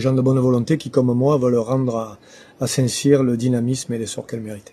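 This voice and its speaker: The man's dark, mellow tone is somewhat breathy, and his intonation stays fairly even. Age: 60s. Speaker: local election candidate. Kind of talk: interview. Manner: hesitant, many filler sounds.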